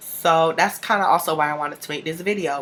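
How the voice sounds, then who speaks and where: A woman's very deep, low voice in a Chicago accent at a moderate pace. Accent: Chicago speech. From US Midwest, Chicago. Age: 20s. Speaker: vlogger. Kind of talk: personal vlog. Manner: casual, filler-heavy.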